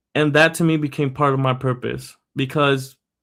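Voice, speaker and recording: A man speaks fairly slowly with a Spanish accent. His pitch is fairly high and his intonation fairly even. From Puerto Rico. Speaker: podcast host. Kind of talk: personal storytelling podcast monologue.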